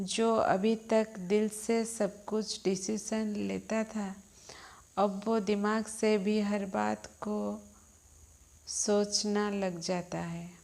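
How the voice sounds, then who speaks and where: Her intonation monotone and flat, a woman speaks with a slight Odia accent. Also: medium pitch for a woman. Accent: slight Odia accent in Hindi. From Odisha, India. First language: Odia (speaking Hindi). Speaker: spiritual healer. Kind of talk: spiritual talk.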